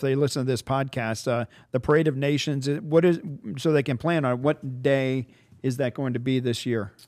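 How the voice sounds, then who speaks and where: This man has an unremarkable speaking voice, medium in pitch with ordinary pitch variation, and he talks at a fairly quick pace. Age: 60s. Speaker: podcast host, tourism bureau executive. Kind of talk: casual interview.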